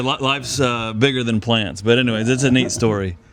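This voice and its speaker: A man talks at a medium pitch while music plays in the background. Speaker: church podcast host. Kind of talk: casual interview questions. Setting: outdoors.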